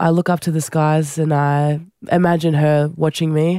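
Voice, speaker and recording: The speaker has an Australian accent, heard on a very clean recording with a silent background. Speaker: Olympic rugby sevens player. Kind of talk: interview.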